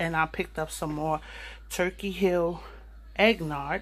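Speaking slowly, a woman uses a fairly low pitch with fairly even intonation.

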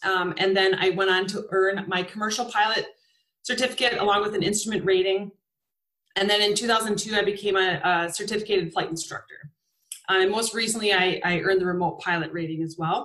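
The voice sounds bright and sharp, moving at a fairly quick pace with fairly even intonation. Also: woman, medium pitch for a woman. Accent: American. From Wisconsin. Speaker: flight instructor and STEM educator. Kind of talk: webinar presentation.

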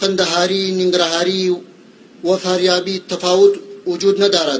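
Against light background noise, a man with an Afghan accent talks in a high voice at a fairly slow pace with monotone, flat intonation. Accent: Dari Persian. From Afghanistan. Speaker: government minister. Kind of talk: official public statement. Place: open country. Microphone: podium.

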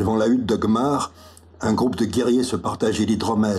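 The text is read aloud in a natural voice.

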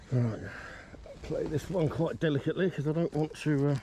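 The man's voice sits fairly high in pitch, with a dark, mellow tone, moving at a moderate pace. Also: ordinary pitch variation.

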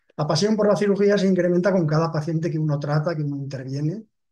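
Against a quiet background, a man talks at a very fast pace in a fairly high, dark, mellow voice. His pitch variation is ordinary. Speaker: retired head of surgery. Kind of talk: webinar presentation. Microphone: webcam.

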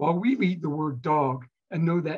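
Over a quiet background, a man with an American accent talks at a moderate pace and a fairly high pitch. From Philadelphia, US. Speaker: archaeologist and author. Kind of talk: interview with lecture-style explanation. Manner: animated, conversational. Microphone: webcam.

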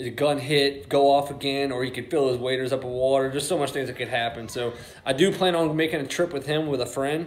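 Moving at a fairly quick pace, a man keeps his intonation fairly even. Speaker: hunting vlogger. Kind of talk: casual vlog chat. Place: garage. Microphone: phone near.

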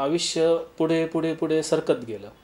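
A man is speaking. The tone of his voice is dark and mellow. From Maharashtra, Ahmednagar district (Sakuri village, Rahata taluka); Maharashtra. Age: young. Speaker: builder and developer, civil engineer. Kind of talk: interview, self-presentation. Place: office.

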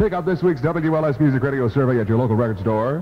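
A man's very fast, upbeat speech with light background noise. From Chicago. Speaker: radio DJ. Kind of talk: Top 40 radio DJ patter. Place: studio. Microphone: old recording.

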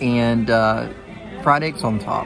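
A man at a very slow pace, with clear music in the background. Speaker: food reviewer. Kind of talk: casual vlog chat. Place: bar. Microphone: phone near.

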